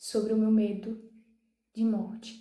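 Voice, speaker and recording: A woman's fairly high, monotone, flat voice at a very slow pace, with audible room echo. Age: 20s. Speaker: youtuber sharing personal mental health story. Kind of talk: personal testimony. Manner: halting, with restarts.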